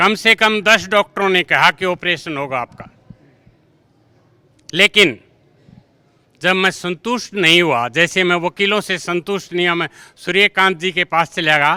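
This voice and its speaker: With long, frequent pauses and ordinary pitch variation, a man's voice comes through dry and close with no echo. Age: 60s. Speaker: school teacher. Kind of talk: interview. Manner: animated.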